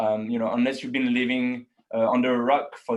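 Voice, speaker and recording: A man speaks in a French accent at a medium pitch. His delivery is fairly quick, with a monotone, flat intonation. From France (Paris). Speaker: account manager. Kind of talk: webinar presentation. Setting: online webinar. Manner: hesitant, many fillers.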